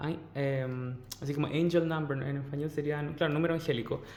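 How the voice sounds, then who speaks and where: A man talks at a moderate pace. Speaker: tarot reader. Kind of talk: tarot reading. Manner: animated.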